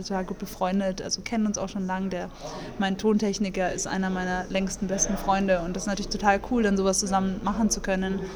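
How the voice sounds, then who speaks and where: A woman at a medium pitch with monotone, flat intonation over noticeable background noise. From Munich, Bavaria. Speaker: jazz singer and composer. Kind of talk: casual interview.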